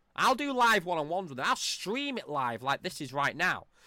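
A man speaks at a fairly quick pace with very wide pitch swings and an animated, bright, sharp tone. The recording is very clean, with a silent background. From England. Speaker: political commentary podcaster. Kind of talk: rant.

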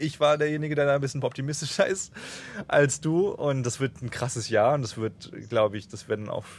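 Talking at a fairly quick pace, a man has a plain, everyday voice with ordinary pitch variation. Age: 20s. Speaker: travel podcast host. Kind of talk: casual chat.

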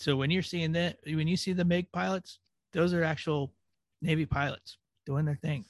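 Here is a normal speaking voice from a man with a fairly high pitch and ordinary pitch variation, at a moderate pace. The loudness is very even, and the sound is dry and close with no echo. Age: 40s. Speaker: podcast host, former Navy. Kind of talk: casual chat.

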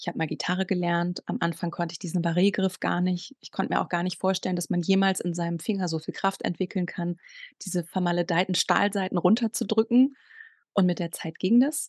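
Over a quiet background, a woman with a normal speaking voice talks at a fairly quick pace, medium in pitch with ordinary pitch variation, in a dry, close sound with no echo. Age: 40s. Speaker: sex coach. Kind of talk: casual interview.

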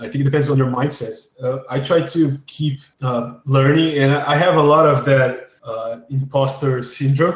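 Fairly even intonation from a man, his pitch fairly high and his pace moderate. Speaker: freelance character artist. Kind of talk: interview. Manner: halting.

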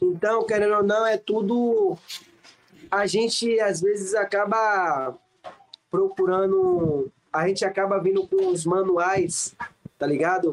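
Very slowly and with long, frequent pauses, a man with a high pitch speaks at very even loudness and fairly even intonation. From Salvador, Bahia, Brazil. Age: 20s. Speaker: professional acrobat. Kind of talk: casual interview chat.

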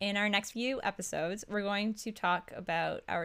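A woman with a Canadian accent uses a plain, everyday voice of medium pitch and ordinary pitch variation. She speaks at a moderate pace in a very clean recording with a silent background. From Ontario, Canada. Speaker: podcast co-host. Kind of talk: casual chat; scripted narration.

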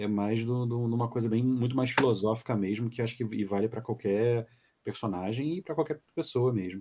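Moving at a fairly quick pace, a man speaks at medium pitch in a dark, mellow tone with ordinary pitch variation. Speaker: dubbing director. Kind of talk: casual chat. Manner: calm.

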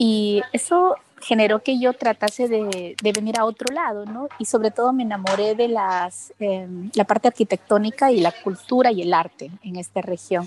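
In a dry, close recording with no echo, a woman speaks at a moderate pace with ordinary pitch variation. Hers is an unremarkable speaking voice with a fairly high pitch. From Peru. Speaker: life coach and event producer. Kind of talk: radio interview.

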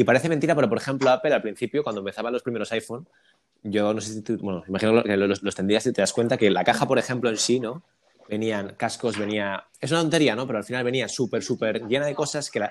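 This man races along very fast, his medium pitch showing ordinary variation. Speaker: podcast host. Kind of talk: casual interview.

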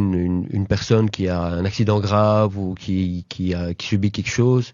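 In a monotone, flat intonation, a man talks at a fairly low pitch. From Brussels, Belgium (Laeken). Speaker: social worker and local councillor. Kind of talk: casual interview. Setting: studio. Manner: hesitant, many fillers.

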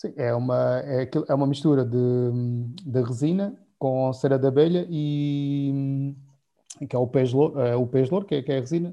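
A man's medium-pitched, an ordinary speaking voice at a moderate pace with ordinary pitch variation. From Portugal, Alentejo. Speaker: winemaker. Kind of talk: casual chat.

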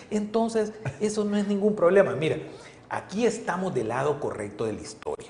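An animated man amid noticeable background noise and audible room echo. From El Salvador. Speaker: politician. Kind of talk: interview. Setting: studio.

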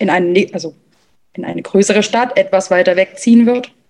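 A normal speaking voice from a woman, medium in pitch, with fairly even intonation at a moderate pace. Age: 20s. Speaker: stepmother sharing her experience. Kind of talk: interview conversation.

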